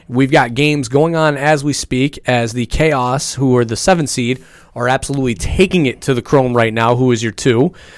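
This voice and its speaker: At a moderate pace, a man speaks with fairly even intonation and a medium pitch. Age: 30s. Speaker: sports podcast panelist, coach. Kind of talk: casual chat. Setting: studio.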